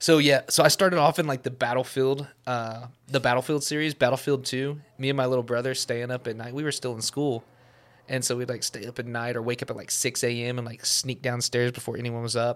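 In a very clean recording with a silent background, a man with a plain, everyday voice talks at a fairly quick pace, his medium pitch held in fairly even intonation. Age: 20s. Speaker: photographer and videographer. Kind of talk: casual chat.

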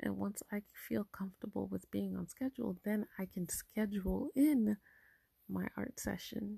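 Quiet speech comes at a fairly slow pace in a dry, close sound with no echo. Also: woman. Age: 30s. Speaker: podcast host and artist. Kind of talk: solo monologue podcast. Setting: at home. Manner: quiet, low voice; casual, many fillers.

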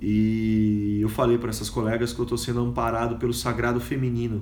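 Audible room echo surrounds a man's voice. He speaks at medium pitch and a moderate pace. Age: 40s. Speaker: podcaster and educator. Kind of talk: casual monologue.

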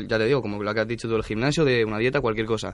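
Fairly even intonation marks a man's mid-pitched voice. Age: young. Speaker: student. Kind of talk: interview.

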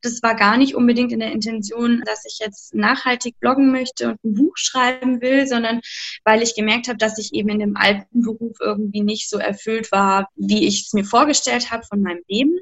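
An unremarkable speaking voice from a woman, fairly high-pitched, with ordinary pitch variation at a moderate pace. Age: 30s. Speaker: art educator and author. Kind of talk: interview.

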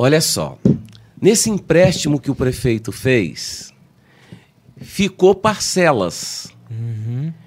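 A man speaks very slowly with very wide swings in pitch, leaving long pauses again and again. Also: medium pitch for a man. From Brazil, Rio de Janeiro state. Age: 50s. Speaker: city councillor. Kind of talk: interview.

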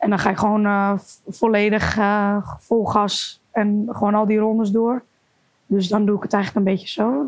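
A woman speaks at a moderate pace and a medium pitch. Music plays in the background. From Amsterdam area, Netherlands. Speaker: kickboxer. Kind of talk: interview.

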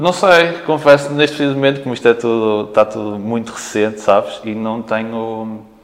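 A man talks in a normal speaking voice at a medium pitch. His pace is moderate and his pitch varies by ordinary amounts. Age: 30s. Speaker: retired professional basketball player. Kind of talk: casual interview. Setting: team locker room.

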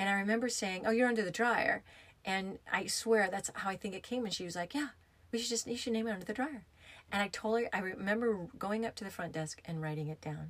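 Talking at a very fast pace in an American accent, a woman uses a fairly high pitch with ordinary variation. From US, upstate New York and Arizona. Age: 50s. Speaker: podcast host, yoga therapist and former hairdresser. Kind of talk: casual storytelling monologue.

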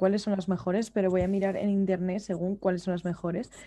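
A dark, mellow tone at a fairly quick pace. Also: woman. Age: 20s. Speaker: podcast co-host. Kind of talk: casual chat.

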